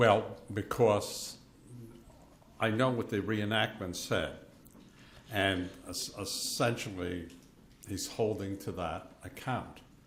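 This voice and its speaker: Audible room echo surrounds speech at a very slow pace, with fairly even intonation and long, frequent pauses. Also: man, fairly low pitch for a man. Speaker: forensic pathologist, expert witness. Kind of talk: witness testimony. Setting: courtroom. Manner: loud.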